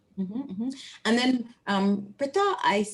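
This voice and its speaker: In a Bahamian accent, a woman speaks at a fairly quick pace, her voice somewhat breathy and fairly high in pitch. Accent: noticeable Bahamian. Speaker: professor. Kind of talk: Q&A after lecture. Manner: animated.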